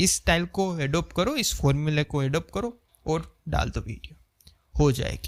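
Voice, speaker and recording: A man speaks with ordinary pitch variation. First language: Gujarati (speaking Hindi). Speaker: YouTuber, video editing creator. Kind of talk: unscripted vlog talk to camera. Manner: conversational, unstructured.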